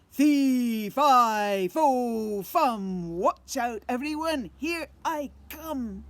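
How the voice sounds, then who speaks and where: A female-sounding put-on character voice, fairly high in pitch, moves at a very slow pace with hardly any pauses. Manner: thundering, menacing.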